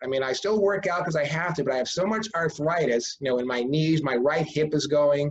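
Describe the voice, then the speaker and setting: Somewhat breathy male speech, fairly quick, with ordinary pitch variation. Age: 60s. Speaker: author. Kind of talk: casual chat. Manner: halting.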